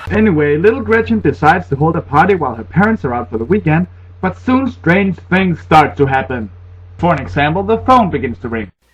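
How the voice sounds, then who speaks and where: With a Danish accent and vocal fry, a man talks at a fairly quick pace and fairly high pitch, his voice making very wide pitch swings. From Denmark. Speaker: horror movie reviewer. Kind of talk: comedic movie review to camera. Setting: laptop built-in microphone. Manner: sarcastic, humorous.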